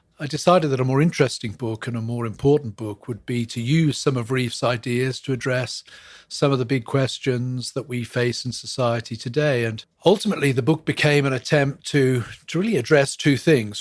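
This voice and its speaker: A man speaks with an English accent at medium pitch. His pace is moderate, with ordinary pitch variation. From England. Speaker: professor and church historian. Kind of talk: interview.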